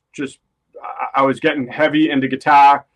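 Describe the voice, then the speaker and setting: Speaking at a moderate pace with a Boston accent, a man has a fairly high pitch. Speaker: rock guitarist. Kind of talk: interview.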